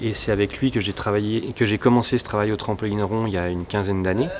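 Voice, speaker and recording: Against noticeable background noise, a man speaks at a fairly quick pace with fairly low pitch. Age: 40s. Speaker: trampoline acrobat. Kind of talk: interview about a stage creation. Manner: halting, with many fillers.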